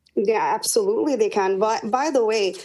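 At a moderate pace, a woman with a Michigan accent speaks in a dark, mellow tone at a fairly high pitch. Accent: Michigan American. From Dearborn, Michigan. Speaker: political party official. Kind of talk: interview. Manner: halting, many fillers.

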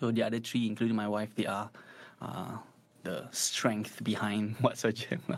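A man with a Singaporean accent talks at a moderate pace and a fairly low pitch. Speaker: guitar teacher. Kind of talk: casual chat; tutorial. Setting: live stream.

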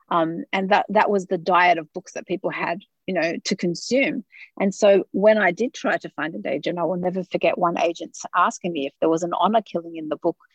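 A woman with an Australian accent, medium in pitch, ordinary pitch variation, in a dry, close sound with no echo. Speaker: author and sociology researcher. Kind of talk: interview. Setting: studio.

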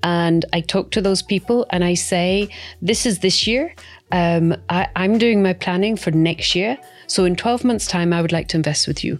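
A woman's medium-pitched voice in a Scottish accent at a moderate pace, with ordinary pitch variation, very even loudness and music in the background. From Scotland. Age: 50s. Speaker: property investor. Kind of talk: interview.

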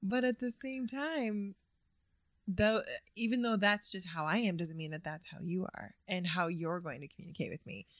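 With a plain, everyday voice, a woman speaks at a moderate pace, her medium pitch rising and falling in lively intonation. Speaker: guest, host's wife. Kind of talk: casual conversation. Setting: studio.

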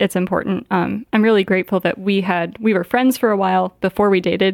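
A woman with a Midwestern American accent speaks at a fairly quick pace with fairly even intonation, the recording very clean with a silent background and a dry, close sound with no echo. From northern Indiana. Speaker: doctoral student. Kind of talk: interview conversation.

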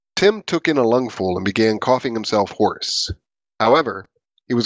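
Against a quiet background, someone reads in an unforced reading voice with lively intonation.

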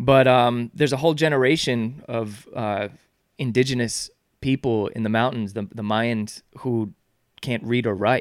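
A man with an American accent speaks in a normal speaking voice at medium pitch and a moderate pace, his intonation fairly even, on a very clean recording with a silent background. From New York (Yonkers). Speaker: author and charity founder. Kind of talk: podcast interview.

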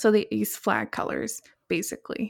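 A woman with an American accent talks at a moderate pace in an ordinary speaking voice, fairly high in pitch. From Seattle, US Pacific Northwest. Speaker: podcast co-host. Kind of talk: casual chat. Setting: remote recording in her kitchen.

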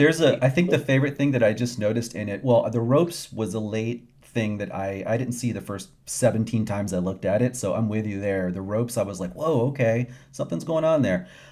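Speaking quickly with hardly any pauses, a man with an American accent has a dark, mellow tone and a medium pitch with ordinary variation. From US South, small town. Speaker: magazine co-manager. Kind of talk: casual interview.

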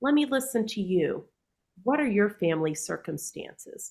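A woman with a normal speaking voice talks in a medium pitch at a moderate pace. Her intonation is lively. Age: 40s. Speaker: teacher of the deaf. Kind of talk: interview.

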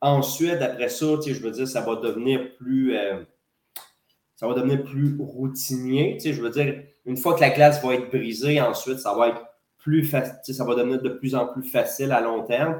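A man speaks in a plain, everyday voice at a moderate pace. His pitch is medium and his intonation fairly even. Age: 30s. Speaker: wrestling promoter and wrestler. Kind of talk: casual interview.

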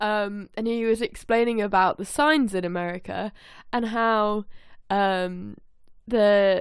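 A woman with an ordinary speaking voice talks in a medium pitch with fairly even intonation. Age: 20s. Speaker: podcast co-host. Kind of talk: casual chat. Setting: remote call recording.

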